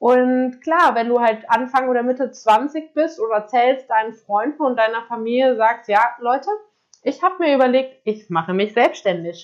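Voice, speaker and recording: A woman speaks at a moderate pace in a high voice. Her loudness stays very even, with ordinary pitch variation. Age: 20s. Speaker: podcaster and self-employed entrepreneur. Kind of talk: casual monologue. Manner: casual, many filler words.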